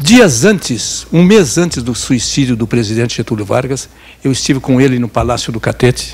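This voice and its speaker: A man's medium-pitched voice with vocal fry. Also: ordinary pitch variation, moderate pace. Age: 80s+. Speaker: journalist. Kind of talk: lecture.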